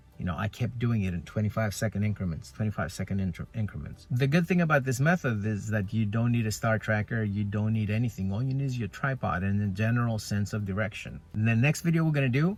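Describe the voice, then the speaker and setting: With a non-native accent, the voice runs at a very fast pace with hardly any pauses, lively intonation, and a somewhat breathy quality. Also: man, fairly low pitch for a man. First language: not English. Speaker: photography vlogger. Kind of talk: tutorial. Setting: in a car. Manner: casual, halting.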